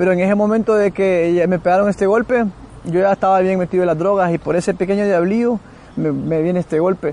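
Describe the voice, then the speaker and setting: At a very fast pace, a man with a high pitch speaks with fairly even intonation and a dark, mellow tone. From Central America. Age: young. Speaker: former gang member and drug user. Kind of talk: testimony. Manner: halting.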